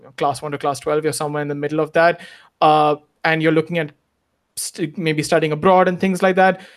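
In a normal speaking voice, a man talks at a moderate pace with a fairly high pitch and fairly even intonation. The recording is very clean, with a silent background. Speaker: former international student, works in investment immigration. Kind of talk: interview.

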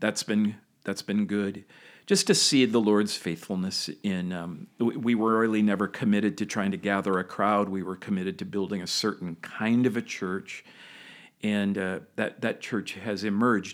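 Fairly even intonation in a man's fairly low voice at a moderate pace, a plain, everyday voice, on a very clean recording with a silent background. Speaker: founding senior pastor. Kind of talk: interview.

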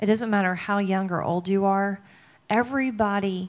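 This woman has a Mississippi accent. Her pitch varies in an ordinary way. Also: very clean recording, silent background. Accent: Southern US (Mississippi). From US South, Mississippi. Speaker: worship singer and songwriter. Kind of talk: testimony. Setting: stage with audience.

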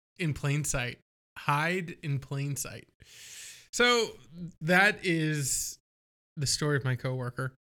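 A man talks at a very slow pace with long, frequent pauses, his fairly high voice bright and sharp with lively intonation. The recording is very clean, with a silent background. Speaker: podcast host. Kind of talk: casual chat. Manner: self-conscious, trying to avoid verbal tics.

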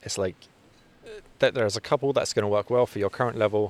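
A man's fairly low voice at a very fast pace, with fairly even intonation and a dry, close sound with no echo. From London, England. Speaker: fitness coach. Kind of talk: casual interview. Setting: sauna.

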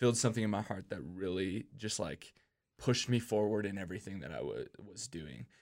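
With an American accent and an ordinary speaking voice, a man talks at a fairly quick pace and fairly low pitch, showing ordinary pitch variation and big swings in loudness in a very clean recording with a silent background. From Minnesota, Minneapolis. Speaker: youth pastor and worship leader. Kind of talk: casual chat.

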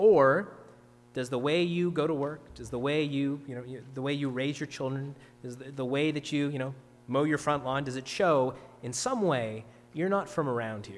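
In a Canadian accent, a man talks at fairly high pitch with ordinary pitch variation. His pace is moderate, and there is audible room echo. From Ontario, Canada. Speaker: pastor. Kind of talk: sermon.

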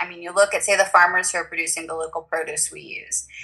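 A woman with a Southern US accent talks over noticeable background noise. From US South, Tennessee. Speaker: photographer, food stylist and blogger. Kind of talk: casual interview chat.

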